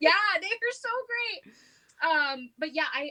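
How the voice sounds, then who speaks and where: At a fairly slow pace, a woman speaks in a raised, projected voice. Her pitch swings very widely. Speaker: flute teacher. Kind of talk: casual interview. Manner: loud.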